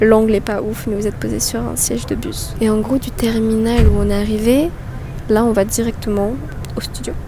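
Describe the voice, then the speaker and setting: A woman speaks at a moderate pace. Room echo is audible, with music playing in the background. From France. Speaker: travel vlogger. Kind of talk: casual vlog. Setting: airport, then bus. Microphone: no microphone, camera mic.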